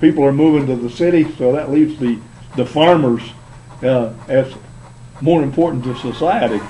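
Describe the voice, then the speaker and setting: The speech moves at a moderate pace with ordinary pitch variation and long, frequent pauses, over noticeable background noise. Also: man, fairly high pitch for a man. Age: 80s+. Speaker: radio talk show co-host. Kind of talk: radio talk show interview. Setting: internet radio show. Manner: halting, many fillers.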